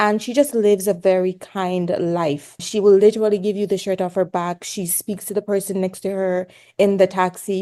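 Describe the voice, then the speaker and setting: Dark, mellow tones in a Jamaican accent, at a moderate pace over a quiet background. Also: woman. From Jamaica, rural Hanover. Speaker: pediatrics resident doctor. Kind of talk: podcast interview. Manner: animated.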